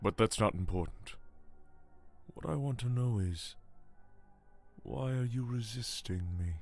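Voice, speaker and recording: Using a put-on character voice at a medium pitch, a man speaks at a moderate pace with long, frequent pauses. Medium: video game. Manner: taunting, scornful.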